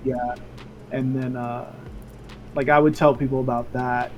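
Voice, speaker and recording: Soft-spoken, a man delivers his words at a moderate pace and medium pitch with monotone, flat intonation. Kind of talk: casual interview answer. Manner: soft-spoken, chill.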